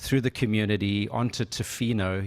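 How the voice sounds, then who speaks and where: Speaking at a moderate pace, the man has a normal speaking voice with a fairly low pitch. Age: 60s. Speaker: workshop moderator. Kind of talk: moderated panel discussion. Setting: conference room with audience, remote guest.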